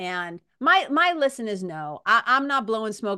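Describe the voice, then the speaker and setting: In a very clean recording with a silent background, a woman speaks at a fairly slow pace, her bright, sharp tone animated and her intonation lively. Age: 50s. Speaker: podcast host and hypnotist. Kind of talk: casual interview chat.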